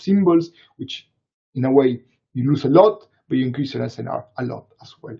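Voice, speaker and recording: Here a man speaks with a Latin American accent. His pace is fairly quick. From Latin America, Argentina side of the Andes. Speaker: neuroscience researcher. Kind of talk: Q&A after a webinar talk. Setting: live online webinar. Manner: halting, many fillers and repetitions.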